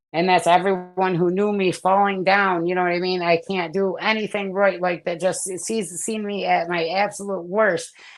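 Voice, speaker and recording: A woman with a medium-pitched voice talks with hardly any pauses while music plays in the background. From upstate New York (Herkimer). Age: 40s. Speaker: recovering addict giving testimony. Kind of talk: testimony. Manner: fast, excited.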